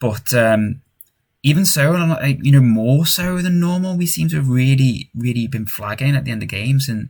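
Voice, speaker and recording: A man talks at a moderate pace with medium pitch, lively intonation and a somewhat breathy voice. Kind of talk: gaming commentary. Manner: frequent sighing.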